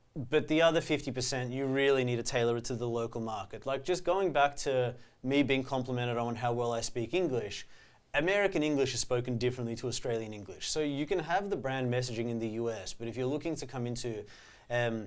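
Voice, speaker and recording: The man's pitch is medium. He talks at a very fast pace. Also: ordinary pitch variation. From Australia. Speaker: podcast co-host. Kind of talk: podcast discussion.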